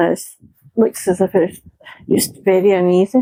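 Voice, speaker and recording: With a Scottish accent, a woman of medium pitch talks at a fairly slow pace. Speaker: vlogger. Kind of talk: casual chat. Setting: outdoors. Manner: loud.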